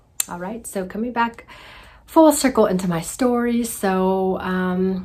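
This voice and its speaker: Soft-spoken and fairly low in pitch, a woman talks at a fairly slow pace with ordinary pitch variation. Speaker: healing coach. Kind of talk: casual vlog monologue. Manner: quiet, soft-spoken; animated.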